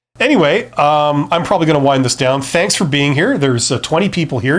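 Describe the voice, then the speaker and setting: A man with an ordinary speaking voice, fairly high pitch, ordinary pitch variation, and a very clean recording with a silent background. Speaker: business youtuber, former CEO. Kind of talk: live stream talk. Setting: live stream. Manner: casual, with fillers and repeats.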